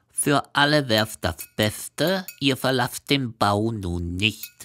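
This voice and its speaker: Rumbling in a put-on character voice, the speaker goes at a very slow pace with lively intonation in a dry, close sound with no echo. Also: man, medium pitch for a man. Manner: grumbling, serious.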